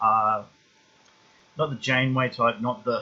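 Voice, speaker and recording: Speaking with an Australian accent, a man talks at a very slow pace. His pitch is medium, with ordinary variation. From eastern Australia. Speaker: YouTube film reviewer. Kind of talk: casual vlog monologue. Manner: halting, many fillers and restarts.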